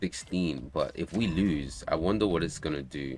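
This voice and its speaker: Vocal fry runs through speech delivered at a fairly slow pace. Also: man. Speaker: game developer streamer. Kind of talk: casual livestream chat. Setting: livestream from home.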